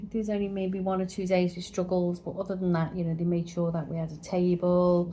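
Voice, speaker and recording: A woman's somewhat breathy voice, dark and mellow in tone, with an English accent. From England. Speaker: travel vlogger. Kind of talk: casual chat, hotel review.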